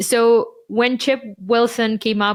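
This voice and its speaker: A woman speaks with a Ukrainian accent. The recording is very clean, with a silent background. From Ukraine. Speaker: marketing podcast co-host. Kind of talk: casual chat.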